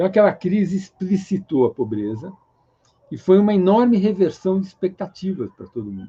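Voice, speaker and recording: A man's high-pitched voice with a dark, mellow tone, lively intonation and a fairly quick pace. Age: 60s. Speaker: economist. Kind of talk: interview.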